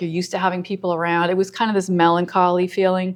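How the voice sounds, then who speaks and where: A woman at a medium pitch over a quiet background. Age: 60s. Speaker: abstract painter and art teacher. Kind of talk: interview. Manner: hesitant, many fillers.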